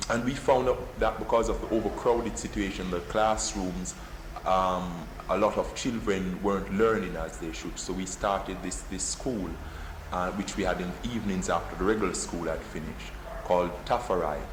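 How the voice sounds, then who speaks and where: A man with a Jamaican accent talks at a moderate pace over noticeable background noise, with audible room echo. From Jamaica, Kingston. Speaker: poet. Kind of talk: interview. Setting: office. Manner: halting, repeats words.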